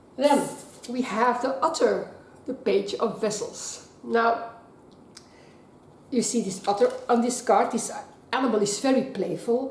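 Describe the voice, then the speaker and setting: A woman with a non-native accent speaks at a high pitch with ordinary pitch variation. Her pace is fairly slow. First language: not English. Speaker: tarot card reader. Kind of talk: tarot reading to camera.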